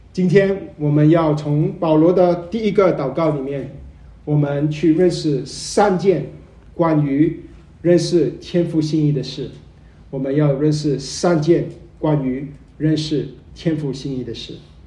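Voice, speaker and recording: A man talks at a very slow pace with fairly even intonation and a dark, mellow tone. There is audible room echo around his voice. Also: fairly high pitch for a man. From Malaysia. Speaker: visiting preacher. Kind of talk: sermon. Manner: hesitant, many fillers.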